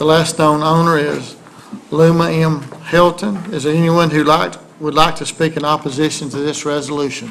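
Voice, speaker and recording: A man with a Southern US accent speaks at a moderate pace in fairly even intonation over light background noise. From US South. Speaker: council meeting chair. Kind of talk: formal meeting procedure. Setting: city hall meeting. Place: hall. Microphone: podium.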